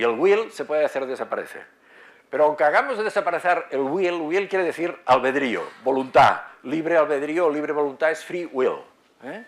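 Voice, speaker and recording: Big swings in loudness from a man speaking moderately paced, fairly high, with ordinary pitch variation. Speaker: psychiatry professor. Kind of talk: lecture. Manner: halting, many fillers.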